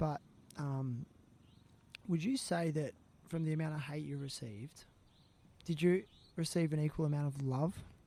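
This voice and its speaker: Long, frequent pauses break up a moderate pace in an Australian accent. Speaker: podcast host. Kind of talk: podcast interview. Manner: halting, many restarts.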